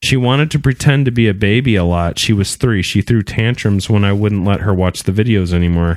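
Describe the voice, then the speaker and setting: A man with an ordinary speaking voice, fairly low in pitch with ordinary variation, at a moderate pace on a very clean recording with a silent background. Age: 30s. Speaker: podcast host. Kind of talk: casual chat; reading aloud.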